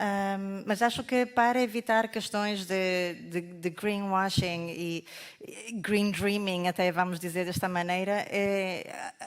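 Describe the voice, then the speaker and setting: On a very clean recording with a silent background, a woman of medium pitch speaks very slowly with fairly even intonation and hardly any pauses. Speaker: carbon market consultant presenter. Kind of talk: conference presentation.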